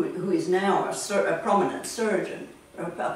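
In a room with audible echo and light background noise, a woman talks at a fairly slow pace. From Tanzania. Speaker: artist. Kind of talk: interview answer. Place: home room. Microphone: camera far.

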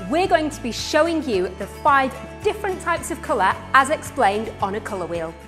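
A woman speaks in an upbeat tone with lively intonation. Music plays in the background. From Northern England. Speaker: fashion presenter. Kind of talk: TV presenter link.

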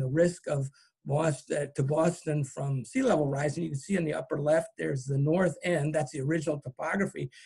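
The speaker has an unremarkable speaking voice with an American accent and ordinary pitch variation. The pace is moderate, and the background is quiet. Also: man. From California, Marin County; California. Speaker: botanist and author. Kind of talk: lecture. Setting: video call.

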